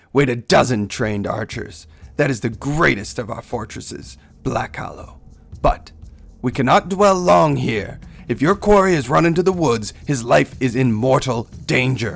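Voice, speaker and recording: This is a put-on character voice. It moves along at a moderate pace. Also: man, medium pitch for a man. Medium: read story. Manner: stern, solemn.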